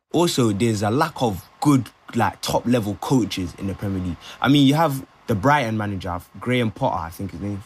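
In a London accent, a man with a fairly low pitch speaks at a fairly quick pace and with lively intonation. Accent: London multicultural English. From London (Brent), Ghanaian family. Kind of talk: casual discussion.

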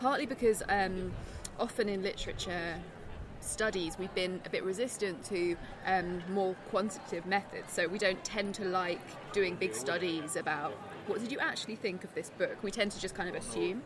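A woman with a southern English accent speaks at a moderate pace amid noticeable background noise and audible room echo. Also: medium pitch for a woman, ordinary pitch variation. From southeast England. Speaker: literature professor. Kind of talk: casual chat. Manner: halting.

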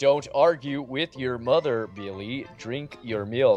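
A man's put-on character voice at a medium pitch and fairly slow pace, with faint music in the background. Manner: robotic, mechanical.

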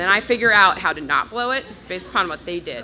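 Moving at a moderate pace, a normal speaking voice carries lively intonation. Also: woman. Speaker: audience member asking a question. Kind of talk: live Q&A question. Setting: stage with audience.

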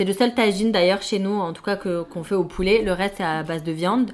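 A woman speaks at a fairly quick pace in a normal speaking voice, her pitch medium. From Morocco (Fès, Casablanca). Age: 30s. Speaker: expatriate sharing home cuisine. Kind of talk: interview.

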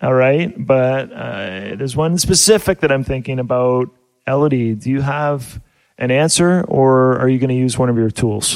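A man talks with a normal speaking voice, medium in pitch, at a moderate pace and with ordinary pitch variation. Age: 40s. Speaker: family radio show host. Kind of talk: casual family radio show chat. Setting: studio.

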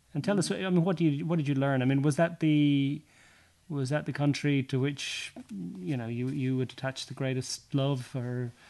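A man with an Irish accent speaks at a moderate pace, his fairly high pitch showing ordinary variation. His tone is dark and mellow, broken by long, frequent pauses. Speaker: podcast host and sports journalist. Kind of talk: casual interview. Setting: recorded at guest's home.

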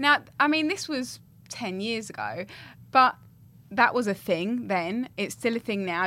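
On a very clean recording with a silent background, a woman speaks in an Essex accent with a bright, sharp tone. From Essex, England. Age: 30s. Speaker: podcast co-host. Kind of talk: casual chat.

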